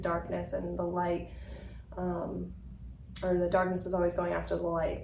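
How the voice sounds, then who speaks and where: There is noticeable background noise. A woman talks at a moderate pace. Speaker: podcast host. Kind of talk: interview conversation. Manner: warm, earnest.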